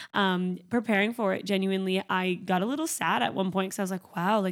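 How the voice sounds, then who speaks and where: In a Canadian accent, a woman with a normal speaking voice talks at a fairly quick pace at a medium pitch with ordinary pitch variation, in a very clean recording with a silent background. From Canada. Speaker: podcast host. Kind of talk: casual monologue.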